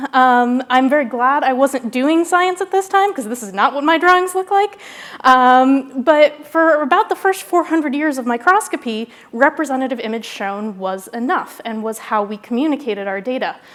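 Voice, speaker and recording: Over noticeable background noise, a woman speaks in a high voice with very wide pitch swings. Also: hardly any pauses. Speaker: scientist giving keynote. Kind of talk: lecture. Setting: stage with audience. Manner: fast.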